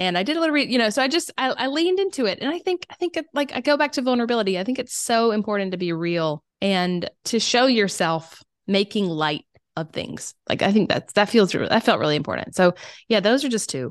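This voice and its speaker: A woman with a Southern US accent, fairly high in pitch with very wide pitch swings, at a fairly quick pace, in a dry, close sound with no echo against a quiet background. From South Carolina. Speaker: oboist, writer and creative coach. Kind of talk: casual interview.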